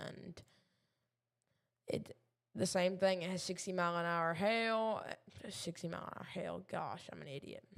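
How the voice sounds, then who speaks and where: With a Southern US accent, a woman speaks at a fairly slow pace and a medium pitch. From Kentucky. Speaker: amateur weather streamer. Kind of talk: live weather commentary. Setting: live stream at home desk. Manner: halting, many fillers.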